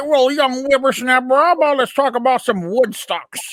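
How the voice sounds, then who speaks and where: A woman's high-pitched, put-on character voice at a moderate pace. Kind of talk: pompous, formal.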